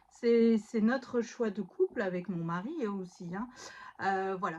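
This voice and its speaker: This woman's pitch sits in the middle range. She speaks at a very slow pace. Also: ordinary pitch variation. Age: 30s. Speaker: stay-at-home mother and scrapbooking YouTuber. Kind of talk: casual chat. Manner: hesitant, many fillers.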